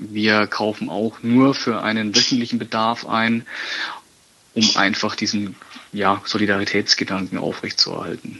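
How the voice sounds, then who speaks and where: This man talks at a moderate pace in a medium pitch, with monotone, flat intonation. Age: 20s. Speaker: football ultra fan, community initiative organiser. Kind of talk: interview. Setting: phone call. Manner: halting, many fillers.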